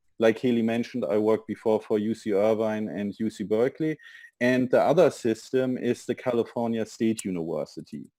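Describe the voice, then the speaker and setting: At a fairly quick pace, a man speaks at a medium pitch in a dark, mellow tone with ordinary pitch variation. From Germany. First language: German. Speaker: university international admissions representative. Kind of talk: webinar presentation.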